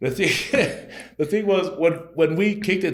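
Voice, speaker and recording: Vocal fry runs through the speech of a man with a Tongan accent. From Utah, Rose Park, Salt Lake City. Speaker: comedian. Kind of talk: casual interview chat. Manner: casual, halting with repetitions.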